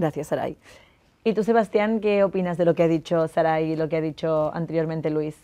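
A woman's fairly low, dark and mellow voice at a fairly quick pace, with ordinary pitch variation and a quiet background. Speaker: debate moderator. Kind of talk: moderated panel discussion. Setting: studio. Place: studio.

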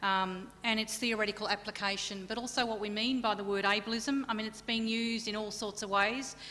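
A woman in an Australian accent talks at a fairly quick pace with a fairly high pitch and hardly any pauses. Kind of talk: keynote lecture. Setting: conference stage with audience. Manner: animated. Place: hall. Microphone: podium.

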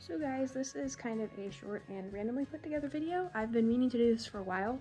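A woman talks while faint music sits in the background. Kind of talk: casual vlog chat. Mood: friendly, upbeat. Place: shop. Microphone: phone near.

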